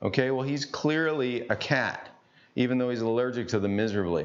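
A man speaks at medium pitch and a fairly quick pace. His pitch varies in an ordinary way.

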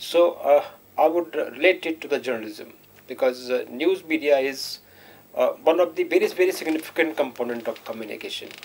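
A man speaks at a moderate pace with an Indian accent. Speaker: professor. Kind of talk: panel discussion. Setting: studio.

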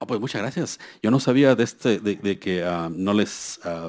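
A man with a fairly low pitch speaks at a moderate pace with ordinary pitch variation, on a very clean recording with a silent background. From Mexico. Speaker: scientist at a US federal agency. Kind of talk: keynote lecture. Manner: halting, many fillers.

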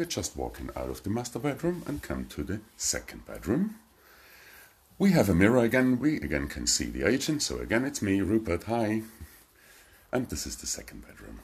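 With vocal fry and a fairly low pitch, a man speaks at a moderate pace, his pitch swinging very widely and his loudness shifting in big swings. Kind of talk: live property tour commentary. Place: home room. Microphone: phone near.

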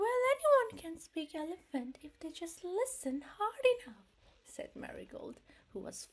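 At a fairly slow pace, a woman speaks in a warm, animated tone with very wide pitch swings. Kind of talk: bedtime story read-aloud for children. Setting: video read-aloud of a picture book to viewers. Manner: warm, animated, expressive storyteller with playful sound effects and laughs; gentle, sing-song, with affirming interjections like 'mm-hmm'.

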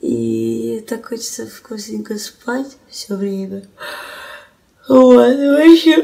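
A soft-spoken woman at a very slow pace against a quiet background. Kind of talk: casual remarks to the person filming. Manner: sleepy, drawn-out murmuring speech. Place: home room.

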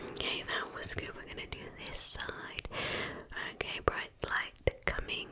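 A soft-spoken woman whispers at a fairly slow pace over loud background noise. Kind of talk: ASMR roleplay, soft spoken. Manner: soft close-mic ASMR whisper. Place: home room.

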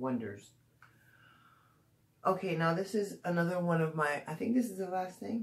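The speaker keeps a moderate pace, broken by long, frequent pauses. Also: woman. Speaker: beauty vlogger. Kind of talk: casual product review vlog. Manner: hesitant, many fillers. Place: home room. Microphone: phone near.

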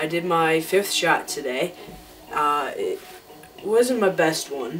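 Faint music plays behind a man speaking at a very slow pace. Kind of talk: casual talk to camera. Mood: relaxed, slightly excited. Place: home room. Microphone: webcam.

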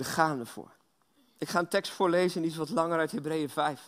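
Against a quiet background, a man with a fairly high pitch talks at a moderate pace, with ordinary pitch variation. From Belgium. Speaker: guest preacher. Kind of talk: sermon. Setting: church. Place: church.

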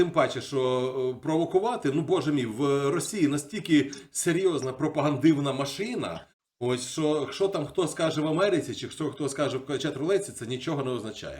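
With a plain, everyday voice, a man speaks at a fairly high pitch and a moderate pace with ordinary pitch variation. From Ukraine, Kyiv. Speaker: video blogger. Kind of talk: casual chat. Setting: video call.

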